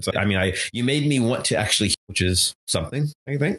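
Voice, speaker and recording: A fairly quick pace, ordinary pitch variation, an unremarkable speaking voice, and a dry, close sound with no echo. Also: man. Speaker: podcast host. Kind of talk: casual chat.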